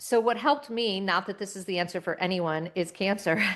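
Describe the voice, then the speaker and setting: A woman speaks in a plain, everyday voice. Her pitch varies in an ordinary way, and her pace is moderate. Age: 50s. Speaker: entrepreneur, former agency CEO. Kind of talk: interview conversation.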